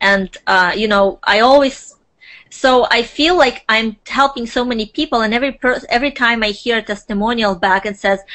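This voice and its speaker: A woman with a non-native accent, ordinary pitch variation, and a moderate pace. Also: fairly high pitch for a woman. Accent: foreign. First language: not English. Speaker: social media consultant. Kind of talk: interview.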